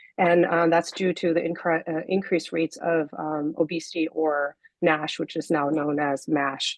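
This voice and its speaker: A woman with a fairly low, shaky voice, monotone and flat, with hardly any pauses. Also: moderate pace. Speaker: scientist. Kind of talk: lecture. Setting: video call. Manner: halting.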